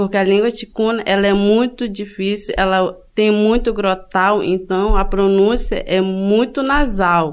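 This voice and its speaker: A woman speaks in a plain, everyday voice at a fairly high pitch. Her pace is fairly slow. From Benjamin Constant, Amazonas, Brazil. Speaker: student podcast host. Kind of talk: scripted narration.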